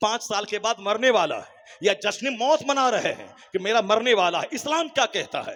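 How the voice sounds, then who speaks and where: Ordinary pitch variation at a moderate pace, with hardly any pauses. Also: man, high pitch for a man. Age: 50s. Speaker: Islamic cleric. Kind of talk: sermon.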